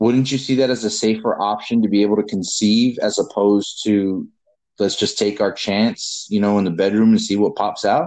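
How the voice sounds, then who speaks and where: With a normal speaking voice, a man talks at a moderate pace with a fairly low pitch, fairly even intonation and very even loudness. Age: 30s. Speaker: podcast host. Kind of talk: casual chat.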